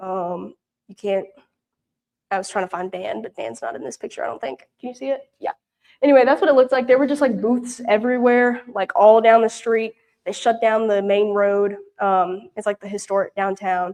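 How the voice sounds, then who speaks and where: With a Southern US accent, a woman speaks at a moderate pace in a fairly high voice, her loudness swinging a lot while her pitch varies in an ordinary way. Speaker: mission intern. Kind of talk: mission report with slides. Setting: church prayer meeting. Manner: casual, many fillers.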